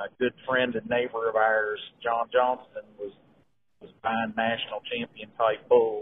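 Medium-pitched man with an American accent, flat monotone intonation, big swings in loudness and a fairly slow pace. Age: 40s. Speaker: cattle breeder. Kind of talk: casual chat.

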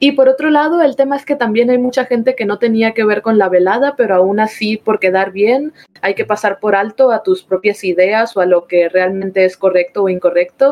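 With a normal speaking voice, this woman talks at a medium pitch and a moderate pace, showing ordinary pitch variation. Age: 20s. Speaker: cosplayer and streamer. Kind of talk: casual chat.

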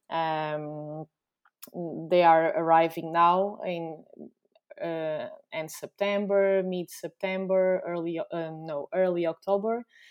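A woman's fairly low voice in a Portuguese accent, monotone and flat, at a very slow pace with big swings in loudness. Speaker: company founder. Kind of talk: casual interview. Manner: halting.

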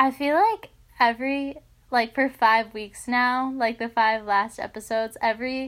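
Heard on a very clean recording with a silent background, a woman with an unremarkable speaking voice talks at a fairly high pitch and a moderate pace with fairly even intonation. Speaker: podcast co-host. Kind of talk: casual chat.

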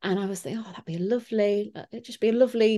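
In a Yorkshire accent, a woman speaks at a moderate pace with a medium pitch, a dark, mellow tone and fairly even intonation over a quiet background. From Yorkshire, England. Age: 20s. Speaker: artist and illustrator. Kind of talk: interview.

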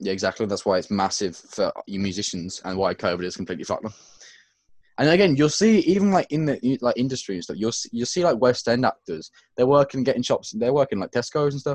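Speaking very fast, a man with an English accent uses a medium pitch that swings very widely. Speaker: podcast co-host. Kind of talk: casual chat.

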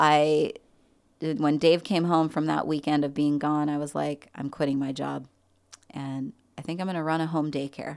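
A woman with a very deep, low voice and an American accent speaks in a monotone, flat way, leaving long, frequent pauses. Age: 50s. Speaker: army veteran. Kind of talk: testimony. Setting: studio.

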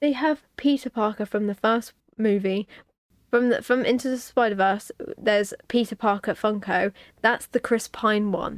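A woman's fairly high voice with a British accent, fairly even intonation and a moderate pace, dry and close with no echo, on a very clean recording with a silent background. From United Kingdom. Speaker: podcast host. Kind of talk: casual chat.

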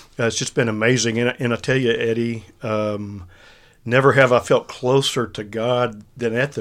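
At a medium pitch and moderate pace, a man talks with a Texan accent and fairly even intonation. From central Texas. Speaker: ministry leader and former consultant. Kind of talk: casual faith discussion podcast.

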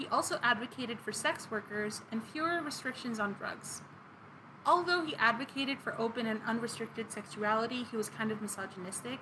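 Against noticeable background noise, a woman talks fairly quickly at a fairly high pitch with ordinary pitch variation. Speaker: podcast co-host. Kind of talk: casual chat with scripted story segments.

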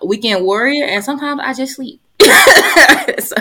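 A woman talks with a Southern US accent. Her intonation is lively. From Georgia, US South. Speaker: family therapist and podcast co-host. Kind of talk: casual chat.

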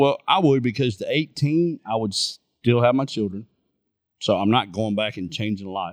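An unremarkable speaking voice with lively intonation moves at a moderate pace. The recording is very clean, dry and close, with a silent background and no echo. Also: man, medium pitch for a man. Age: 40s. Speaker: podcast co-host. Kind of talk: casual chat.

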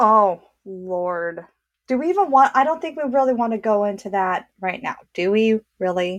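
Lively in intonation, a woman with an American accent and fairly high pitch speaks at a moderate pace in an unremarkable speaking voice. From US Southwest. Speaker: podcast co-host. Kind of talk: casual chat.

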